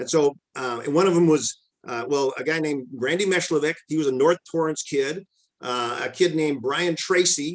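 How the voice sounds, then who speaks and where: With an unremarkable speaking voice, a man talks at a moderate pace, his fairly high pitch showing ordinary variation. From Lompoc, California. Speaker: former runner and teacher. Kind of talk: interview answer. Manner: casual, conversational.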